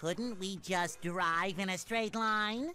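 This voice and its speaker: A man uses a put-on character voice, high in pitch and delivered at a very slow pace. Background noise is clearly heard. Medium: video game. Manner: eager, chipper.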